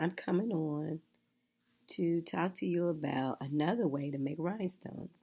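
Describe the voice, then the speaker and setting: Her voice is husky and fairly low, a woman's voice with a dark, mellow tone and ordinary pitch variation. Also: moderate pace. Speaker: craft tutorial maker. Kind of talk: casual tutorial talk to camera.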